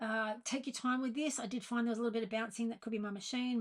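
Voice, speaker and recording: In an Australian accent, a woman talks at a very fast pace with a fairly high, somewhat breathy voice. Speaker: sewing pattern designer. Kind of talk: sewing tutorial talk to camera.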